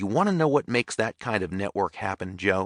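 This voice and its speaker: A man at a fairly quick pace with ordinary pitch variation, in a dry, close sound with no echo. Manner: quiet.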